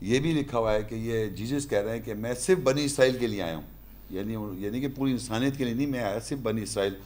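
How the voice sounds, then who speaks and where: A man talks at a medium pitch with ordinary variation. Room echo can be heard. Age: 50s. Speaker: religious lecturer. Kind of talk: lecture.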